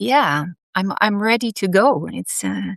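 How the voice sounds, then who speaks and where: A woman's medium-pitched voice in a Dutch accent, with a dry, close sound and no echo. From Netherlands. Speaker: past life therapist. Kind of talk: interview.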